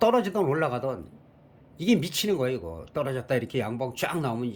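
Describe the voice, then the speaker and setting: A somewhat breathy man's voice at medium pitch with lively intonation. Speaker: stock market commentator. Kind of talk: market analysis talk. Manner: fast.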